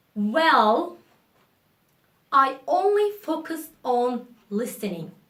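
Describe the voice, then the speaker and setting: A woman's raised, projected voice with a Turkish accent, high in pitch, bright and sharp in tone, with very wide pitch swings. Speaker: English teacher YouTuber. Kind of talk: casual spoken English lesson to camera. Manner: spontaneous, casual.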